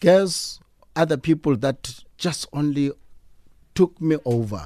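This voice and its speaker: The speaker, with a South African accent, talks at a very slow pace with very wide pitch swings on a very clean recording with a silent background. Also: man. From South Africa, Eastern Cape (East London). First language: Xhosa. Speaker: fashion designer. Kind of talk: radio interview. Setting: radio studio.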